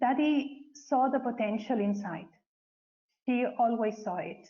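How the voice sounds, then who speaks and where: A woman with a Spanish accent talks fairly slowly at a fairly high pitch, with ordinary pitch variation. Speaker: spiritual community member. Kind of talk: testimony. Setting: webcast.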